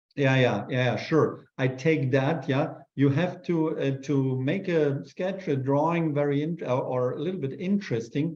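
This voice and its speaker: A man with a German accent speaks at a moderate pace and fairly high pitch, somewhat breathy, with ordinary pitch variation and hardly any pauses. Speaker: urban sketch artist. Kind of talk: live demo Q&A. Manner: halting.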